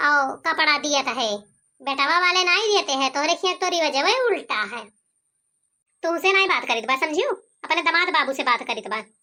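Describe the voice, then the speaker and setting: In a squeaky, cartoonish character voice, the speaker uses lively intonation at a moderate pace, with long, frequent pauses. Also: woman, high pitch for a woman. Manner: nagging, haggling.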